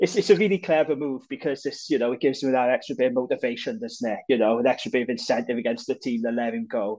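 At a fairly quick pace, a man speaks with a Welsh accent. His pitch sits in the medium range. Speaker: podcast co-host. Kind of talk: casual banter.

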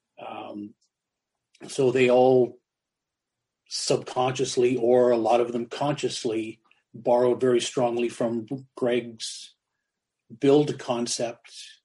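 Speaking in a dark, mellow tone, a man delivers flat, monotone lines very slowly, with long, frequent pauses. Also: medium pitch for a man. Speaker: goalie mask artist. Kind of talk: casual interview.

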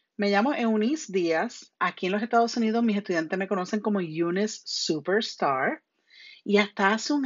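The woman's tone is animated. She speaks at a medium pitch in a Puerto Rican accent. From Puerto Rico. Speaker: podcast host and citizenship teacher. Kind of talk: educational podcast monologue. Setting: home bedroom. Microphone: phone earbuds headset, lower quality.

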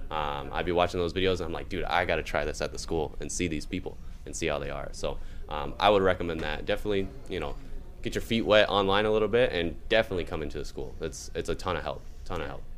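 With music in the background, a man talks very fast at a very deep, low pitch with ordinary pitch variation. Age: 20s. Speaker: dealer school student. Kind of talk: casual chat.

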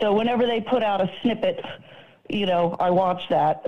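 The woman speaks at a medium pitch. Her pitch variation is ordinary. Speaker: caller. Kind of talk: call-in comment. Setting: phone call.

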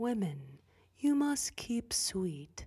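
This is a put-on character voice that sounds female. It sits fairly high in pitch and has very wide pitch swings. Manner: sinister, sickly sweet.

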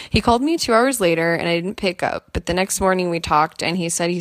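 A woman with a fairly low pitch talks with ordinary pitch variation. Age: 20s. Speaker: caller. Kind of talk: voicemail question. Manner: fast.

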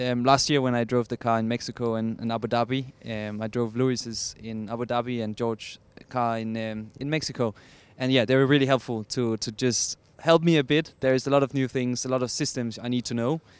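A man with a Danish accent speaks at medium pitch and a fairly quick pace. His intonation is fairly even, and the recording is very clean with a silent background. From Denmark. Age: 20s. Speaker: racing driver. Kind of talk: interview.

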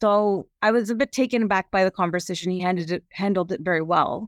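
The voice is an unremarkable speaking voice with ordinary pitch variation, moving at a fairly quick pace. The sound is dry and close, with no echo. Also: woman. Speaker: cancer patient and parent. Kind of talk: support group discussion. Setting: video call.

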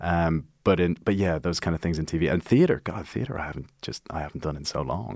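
Speaking at a fairly quick pace, a man uses a very deep, low voice with vocal fry and ordinary pitch variation. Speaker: actor and writer. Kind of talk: casual chat. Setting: studio. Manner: laughs often, casual.

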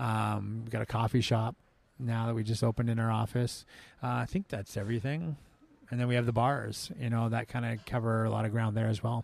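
Someone with a western Canadian accent speaks at a fairly quick pace with fairly even intonation. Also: man, medium pitch for a man. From Canada, Vancouver Island (Langford near Victoria). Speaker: executive chef and restaurant owner. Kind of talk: casual interview chat. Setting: restaurant after service, some ambient noise.

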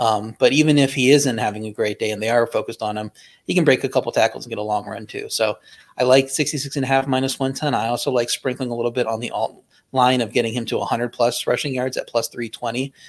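A man talks at a very fast pace with a medium pitch. The recording is very clean, with a silent background. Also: fairly even intonation. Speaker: sports betting analyst. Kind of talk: casual chat.

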